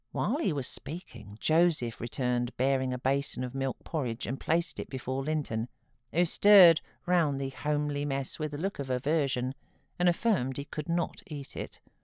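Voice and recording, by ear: Extremely low-pitched for a woman, her voice has a clear, smooth and slightly mellow tone with ordinary pitch variation at a moderate pace, dry and close with no echo on a very clean recording with a silent background.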